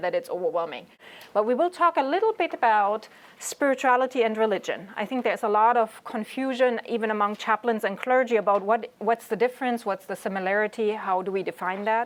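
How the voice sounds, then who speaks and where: A woman's fairly high voice with a German accent, ordinary pitch variation, and a fairly quick pace. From Germany. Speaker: chaplain. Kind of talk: lecture.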